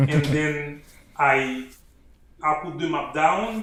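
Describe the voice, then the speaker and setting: Over noticeable background noise and audible room echo, a man with a Haitian accent speaks at a fairly high pitch. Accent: Haitian Creole-accented English. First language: Haitian Creole. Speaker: army officer and author. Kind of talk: interview.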